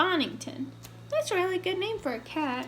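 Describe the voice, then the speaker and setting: A woman in a put-on character voice at a moderate pace, with clear background noise. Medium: read story. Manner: polite, gracious.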